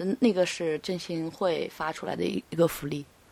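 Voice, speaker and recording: The recording is very clean and silent behind a woman who speaks at a moderate pace and a fairly low pitch, with ordinary pitch variation. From Wenzhou, China. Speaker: model and bar worker. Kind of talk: casual chat. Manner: cool, detached.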